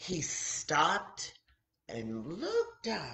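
A woman speaks at a very slow pace with a fairly bright tone.

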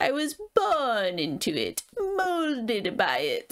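A high, nasal put-on character voice crawls along at a very slow pace with very wide pitch swings.

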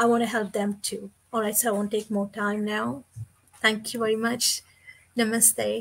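A woman talks at a moderate pace in a fairly high, somewhat breathy voice. Her intonation is monotone and flat. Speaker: online business partner. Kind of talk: casual chat. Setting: live video stream. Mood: earnest, warm. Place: home room.

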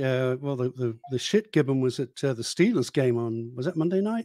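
At a moderate pace and with lively intonation, the voice comes through dry with no echo against a quiet background. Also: man. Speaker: podcast co-host, former radio host. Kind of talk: casual comedic chat. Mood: joking, opinionated. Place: home room. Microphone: studio mic.

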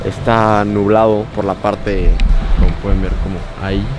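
A man talks at a moderate pace in a fairly low pitch with monotone, flat intonation. The sound is dry with no echo, and music plays in the background. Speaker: vlogger. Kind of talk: casual vlog chat. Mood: calm, reflective, sentimental. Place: beach. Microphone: phone near.

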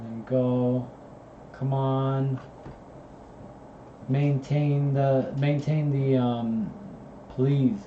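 Through audible room echo, a man talks at a very slow pace with monotone, flat intonation, long and frequent pauses, and big swings in loudness. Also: medium pitch for a man. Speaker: student streaming study session. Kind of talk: casual live study stream commentary. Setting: at computer with music playing. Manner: halting, many fillers.

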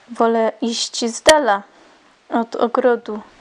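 A woman talks at a very slow pace with a fairly high pitch. Noticeable background noise runs underneath. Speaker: poet reading her own poem. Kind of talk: poetry reading.

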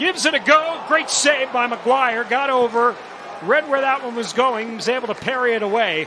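A man uses a raised, projected voice at an extremely high pitch with ordinary pitch variation. He keeps a moderate pace over noticeable background noise. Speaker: play-by-play commentator. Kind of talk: live sports commentary. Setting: broadcast booth.

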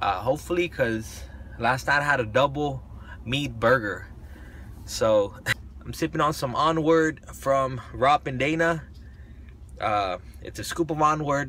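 With long, frequent pauses, a man speaks at a fairly slow pace over light background noise, the sound dry with no echo. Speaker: fitness vlogger. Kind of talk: casual vlog chat. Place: car. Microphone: phone near.

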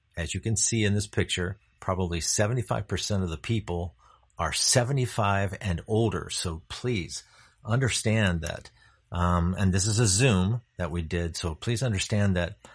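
A man's somewhat breathy voice at a fairly slow pace, ordinary pitch variation, quiet background. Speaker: presenter. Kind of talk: presentation talk. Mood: warm, proud.

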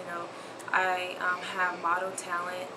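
There is noticeable background noise. A woman with a Southern US accent speaks at a moderate pace. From Memphis, Tennessee. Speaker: aspiring model. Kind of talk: audition tape talk to camera. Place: home room. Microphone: camera far.

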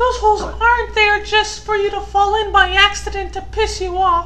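This put-on character voice sits at an extremely high pitch and moves at a moderate pace. Background noise is clearly audible.

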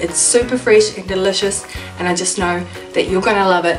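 Clear music plays in the background as a woman speaks with ordinary pitch variation. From New Zealand. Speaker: cooking channel host. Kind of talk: casual cooking tutorial to camera. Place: home room. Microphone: camera far.

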